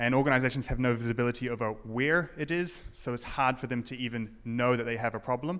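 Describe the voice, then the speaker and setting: A man speaks with a New Zealand accent at a medium pitch and a very fast pace. His intonation is fairly even, and he hardly pauses at all. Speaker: conference speaker, security professional. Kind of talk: conference talk. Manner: hesitant, many fillers.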